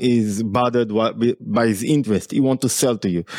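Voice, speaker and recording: A man is speaking. He has an Israeli accent. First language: Hebrew. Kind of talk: casual interview chat.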